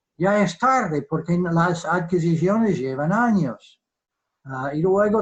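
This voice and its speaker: A man speaking very slowly at a high pitch. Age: 70s. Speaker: defence economist. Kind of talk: virtual lecture. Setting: video call. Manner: halting.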